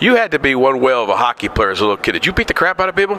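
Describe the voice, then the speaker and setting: An animated man with an American accent, medium pitch and very wide pitch swings, over noticeable background noise. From northeastern Pennsylvania. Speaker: interviewer. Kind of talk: interview.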